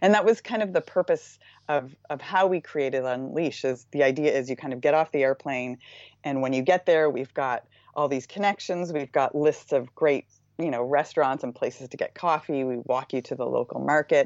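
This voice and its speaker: Speaking at a moderate pace, a woman with a Maritime Canadian accent has a very deep, low pitch. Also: ordinary pitch variation. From Canada, Nova Scotia eastern shore. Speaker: surf travel business co-founder. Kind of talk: interview. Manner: energetic; hesitant fillers (um).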